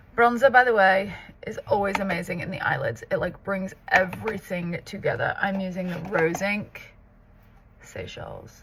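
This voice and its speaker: Delivered at a moderate pace, the speech has big swings in loudness against noticeable background noise. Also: woman. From northern England, Southport near Liverpool. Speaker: makeup artist and content creator. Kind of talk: casual get-ready-with-me tutorial chat.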